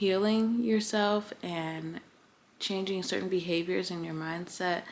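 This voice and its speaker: A soft-spoken woman's voice at a medium pitch, fairly slow, with fairly even intonation. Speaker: lifestyle vlogger. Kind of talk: casual chat. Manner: soft-spoken in person.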